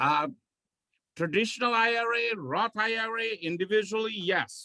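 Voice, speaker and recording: A man projects a raised voice at a high pitch, bright and sharp in tone. He keeps a moderate pace with ordinary pitch variation. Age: 60s. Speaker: tax accountant. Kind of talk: Q&A session.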